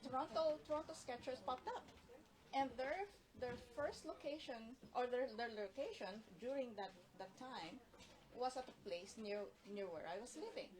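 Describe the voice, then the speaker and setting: Over noticeable background noise, a woman speaks at a moderate pace and a high pitch, with very wide pitch swings. Her pauses are long and frequent. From Philippines. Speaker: urban sketching artist. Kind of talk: casual interview chat. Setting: Instagram Live video.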